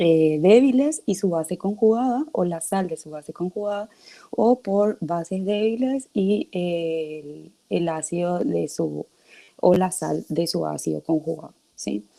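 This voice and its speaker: A woman's fairly low, dark and mellow voice, with lively intonation and a fairly slow pace. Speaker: teaching assistant. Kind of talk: online class lecture.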